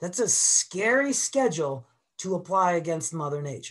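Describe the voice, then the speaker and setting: Against a quiet background, a man talks at a moderate pace in a high voice. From Boston. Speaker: avalanche educator. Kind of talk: webinar presentation. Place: home room. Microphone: webcam.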